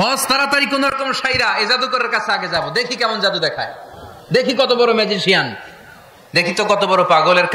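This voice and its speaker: Over noticeable background noise, a man raises and projects his extremely high voice, with ordinary pitch variation. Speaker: Islamic preacher delivering a waz sermon. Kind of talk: religious sermon to a live audience. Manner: lively, conversational, rhetorical questions to audience.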